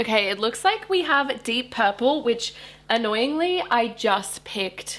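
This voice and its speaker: A woman's fairly high-pitched voice in an Australian accent, with lively intonation at a very slow pace. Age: 20s. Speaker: book YouTuber. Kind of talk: casual talk to camera.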